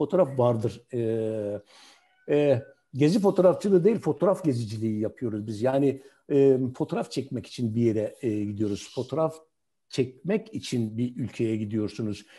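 A man speaks with lively intonation at a moderate pace. His tone is dark and mellow. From Hatay, southern Turkey. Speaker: retired journalist and photographer; retired journalist. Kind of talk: online talk and interview. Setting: video call. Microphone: video call.

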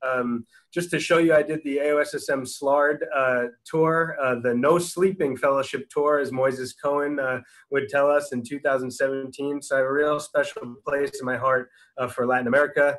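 Against a quiet background, a man with an ordinary speaking voice talks at a moderate pace, his fairly high pitch held in fairly even intonation. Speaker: orthopedic surgeon; presenter. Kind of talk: lecture. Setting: video call. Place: home room. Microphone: video call.

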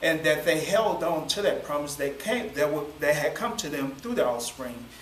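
Over light background noise and audible room echo, a man talks at a moderate pace with a fairly high pitch and ordinary pitch variation. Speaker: preacher. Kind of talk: sermon. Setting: church. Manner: calm, doesn't yell. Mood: warm, relaxed, smiling. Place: classroom. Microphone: camera far.

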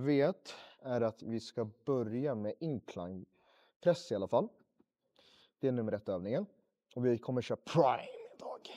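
A man's dark, mellow tone at a moderate pace, with long, frequent pauses over a quiet background. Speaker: fitness vlogger. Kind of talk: casual vlog chat. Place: gym. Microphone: lapel.

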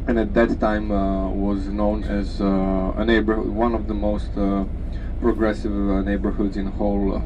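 A man with a very deep, low pitch swings his pitch very widely against noticeable background noise. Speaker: tour guide. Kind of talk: tour guide commentary. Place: bus.

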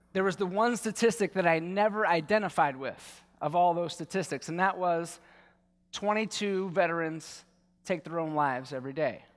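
Here is a man with an American accent and a high voice. He talks at a moderate pace with ordinary pitch variation, over a quiet background. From Baltimore, US. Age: 40s. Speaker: war veteran and yoga teacher. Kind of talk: conference talk. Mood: earnest, personal storytelling. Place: stage. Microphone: headset.

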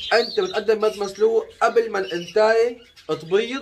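A man with a high-pitched voice and ordinary pitch variation talks while noticeable noise sits in the background. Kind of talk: casual vlog chat. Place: home room. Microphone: phone near.

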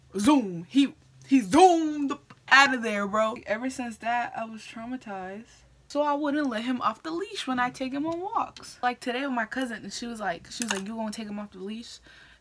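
A woman's high-pitched voice moves with lively intonation. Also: moderate pace, big swings in loudness. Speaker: beauty vlogger. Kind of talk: casual vlog chat. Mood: amused storytelling. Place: home room. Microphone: phone near.

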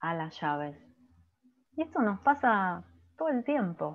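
A woman at a medium pitch and a very slow pace against a quiet background. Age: 50s. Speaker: physician and coach; coach presenter. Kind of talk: lecture. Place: home room. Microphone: webcam.

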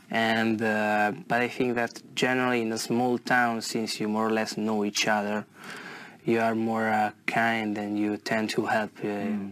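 The voice has an Italian accent and a fairly slow pace. Its intonation is monotone and flat. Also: man. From northern Italy, near Como. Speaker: IELTS test candidate. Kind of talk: exam interview. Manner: halting, many fillers and repetitions.

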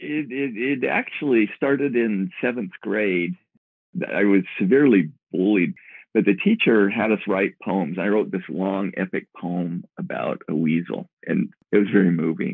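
This man has a plain, everyday voice and an American accent. His pitch is fairly low with ordinary variation, and his pace is fairly slow. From Utah (Moab). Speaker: evolutionary biologist, professor and novelist. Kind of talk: interview.

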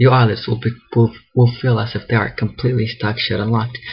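The delivery moves at a fairly quick pace. The intonation stays monotone and flat. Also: man. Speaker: hypnotist. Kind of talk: hypnosis induction session. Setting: video call via webcam.

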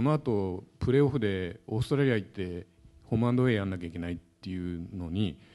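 Speaking at a very fast pace, a man uses lively intonation in a dark, mellow tone. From Japan. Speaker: sports journalist. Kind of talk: talk show panel. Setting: stage with audience. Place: hall. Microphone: handheld.

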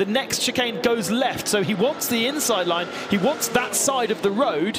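A man speaks in an excited tone at a high pitch, with ordinary pitch variation and noticeable background noise. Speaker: motorsport commentator. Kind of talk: live race commentary. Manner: excited, fast.

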